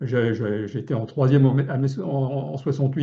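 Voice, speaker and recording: Somewhat breathy and medium in pitch, a man's voice moves at a fairly quick pace. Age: 70s. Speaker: local elected official. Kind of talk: webinar talk. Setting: online webinar. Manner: halting, many fillers and repetitions.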